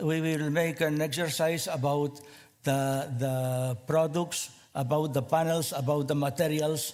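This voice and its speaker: A man with a fairly high voice speaks at a fairly slow pace in a flat monotone, with audible room echo. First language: Spanish or Catalan. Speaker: small space company representative. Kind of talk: conference presentation. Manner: halting, many fillers and repeats.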